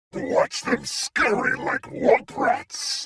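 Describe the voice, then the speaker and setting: A man puts on a growling character voice pitched extremely high. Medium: video game. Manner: snarling, arrogant.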